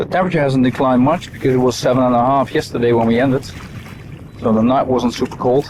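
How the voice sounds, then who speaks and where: A man's voice amid noticeable background noise. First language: not English. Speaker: fishing guide and video creator. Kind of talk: on-the-water vlog tutorial. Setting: outdoors on a boat on a lake. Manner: casual, conversational.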